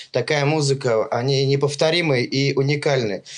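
A man with a normal speaking voice, pitched fairly high. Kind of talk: casual chat.

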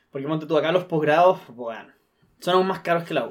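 Fairly quick speech from a man with a fairly high pitch. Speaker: podcast host. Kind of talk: casual chat.

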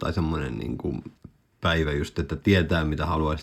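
A man's very deep, low voice. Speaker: podcast co-host. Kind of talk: casual chat. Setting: studio. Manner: halting, many fillers.

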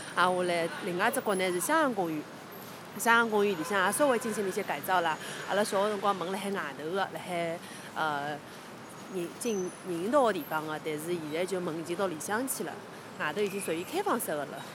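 A woman with a Shanghai accent at a medium pitch, a fairly quick pace and ordinary pitch variation, with noticeable background noise. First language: Shanghainese (speaking Chinese). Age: 30s. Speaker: local resident. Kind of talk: walking tour recollection. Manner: halting.

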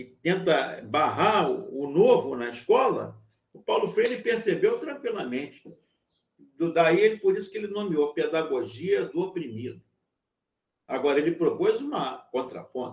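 Speaking at a fairly slow pace, a man's voice shows big swings in loudness. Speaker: university lecturer. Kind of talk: lecture. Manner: halting.

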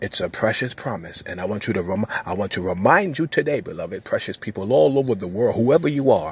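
Speaking at a very fast pace, a man with a medium pitch sounds somewhat breathy, his intonation lively. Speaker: preacher. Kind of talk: fervent prayer and sermon-style exhortation, delivered as a devotional message. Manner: earnest, impassioned, urgent; emphatic and repetitive, declaring with conviction.

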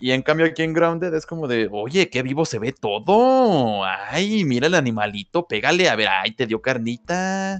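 A man with a Mexican accent, fairly high in pitch with very wide pitch swings, at a fairly slow pace with hardly any pauses, over a quiet background. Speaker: podcast co-host. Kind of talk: casual chat.

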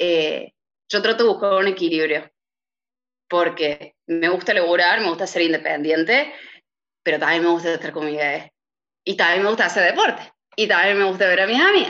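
This woman speaks at a moderate pace with a fairly low pitch and ordinary pitch variation, leaving long, frequent pauses. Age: 30s. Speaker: lawyer's office administrator. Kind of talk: interview. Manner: hesitant with filler sounds.

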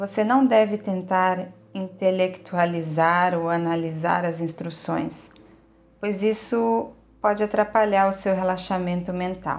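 A woman talks at a very slow pace with fairly even intonation. Her tone is gentle and calm. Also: medium pitch for a woman. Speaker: yoga nidra guide. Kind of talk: guided meditation. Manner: slow, calm, soothing, with long pauses; gentle, steady, listing body parts in a measured rhythm.

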